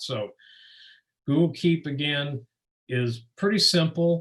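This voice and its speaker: Somewhat breathy, a man speaks with ordinary pitch variation. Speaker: presenter of a teacher webinar. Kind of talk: webinar presentation with Q&A. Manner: fast.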